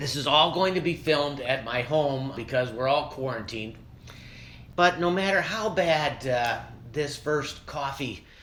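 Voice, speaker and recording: In a room with audible echo, a man speaks fairly slowly in a fairly high pitch with ordinary pitch variation. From Ohio, Cleveland area. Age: 60s. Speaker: art gallery owner. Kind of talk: casual chat. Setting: at home. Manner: casual, with hesitations.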